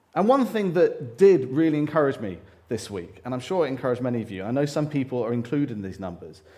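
A man's medium-pitched voice, dark and mellow in tone, with very wide pitch swings, a very fast pace and audible room echo. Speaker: church speaker. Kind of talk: sermon.

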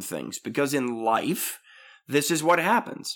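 A man talks at a moderate pace. The recording is very clean, with nothing audible in the background. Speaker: podcast host. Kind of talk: casual interview chat. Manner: playful, jokey.

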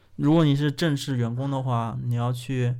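Audible room echo surrounds a man whose medium-pitched voice has a dark, mellow tone, moving at a moderate pace with fairly even intonation. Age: 20s. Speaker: podcast host. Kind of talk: casual chat.

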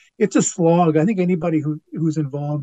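A man with a somewhat breathy voice talks at a moderate pace, his pitch varying in an ordinary way. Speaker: actor and writer. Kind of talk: casual chat. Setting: video call.

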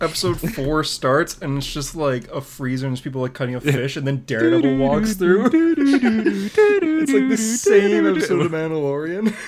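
A man's fairly high voice with very wide pitch swings, hardly any pauses, and noticeable background noise. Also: moderate pace. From Australia. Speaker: podcast co-host. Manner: casual, conversational.

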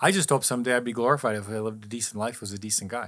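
With ordinary pitch variation and a medium pitch, a man talks at a fairly quick pace in a very clean recording with a silent background. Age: 60s. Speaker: healing survivor sharing faith story. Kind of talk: testimony.

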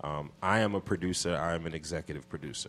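A man with an American accent, very deep and low in pitch, at a fairly quick pace against a quiet background. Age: 40s. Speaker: hip hop producer and executive. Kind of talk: casual interview. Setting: radio studio.

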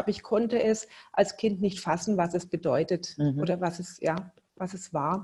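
In a very clean recording against a silent background, a woman sounds somewhat breathy. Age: 50s. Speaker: entrepreneur. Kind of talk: interview.

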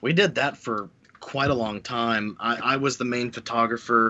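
At a moderate pace, a man talks in a plain, everyday voice with fairly even intonation. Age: 30s. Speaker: game developer. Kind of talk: casual chat.

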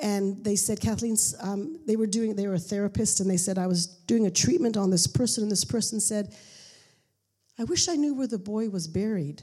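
Somewhat breathy and dark, mellow in tone, a woman talks at a fairly quick pace with lively intonation. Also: medium pitch for a woman. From Pakistan (missionary boarding school). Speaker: missionary. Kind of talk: testimony.

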